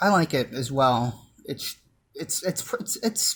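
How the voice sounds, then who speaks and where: On a very clean recording with a silent background, a somewhat breathy man speaks at a medium pitch and a moderate pace with lively intonation. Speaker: music YouTuber. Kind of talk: unscripted video commentary. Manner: halting, many filler words; casual.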